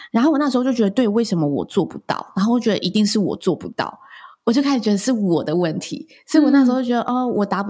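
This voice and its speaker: At a very fast pace, a woman with a somewhat breathy, dark, mellow tone speaks with lively intonation. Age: 30s. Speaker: wedding and event host, podcaster. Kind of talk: interview.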